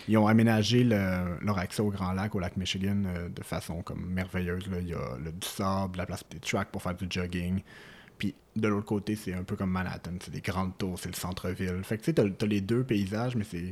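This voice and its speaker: Very deep, low-pitched man's voice with fairly even intonation. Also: moderate pace, very clean recording, silent background. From Quebec City. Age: 20s. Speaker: lab analyst, traveller. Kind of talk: storytelling interview.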